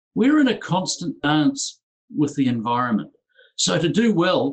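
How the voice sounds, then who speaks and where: A man with a New Zealand accent, high pitch and very wide pitch swings, at a fairly slow pace with very even loudness. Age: 50s. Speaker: entrepreneur and business coach. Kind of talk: conference presentation.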